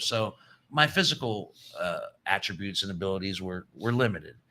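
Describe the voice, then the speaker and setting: This man has a bright, sharp tone. He talks at a moderate pace in an American accent. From US Midwest, Chicago suburbs and Columbus area. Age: 60s. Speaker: podcast guest. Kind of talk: casual chat. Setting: garage.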